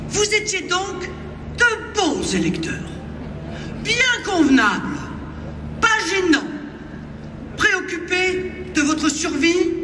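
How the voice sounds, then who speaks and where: A woman's raised, projected voice at an extremely high pitch, very slow, with long, frequent pauses, ordinary pitch variation and noticeable background noise. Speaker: far-right party leader giving a speech. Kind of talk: political rally speech. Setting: outdoors, rally in a public square. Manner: oratorical, forceful, with crowd address.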